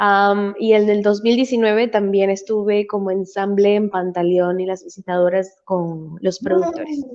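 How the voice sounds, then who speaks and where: A woman speaks at a fairly slow pace with hardly any pauses. Her pitch is medium and its variation ordinary. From Venezuela. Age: 20s. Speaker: musical theatre performer and voice teacher. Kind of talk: interview.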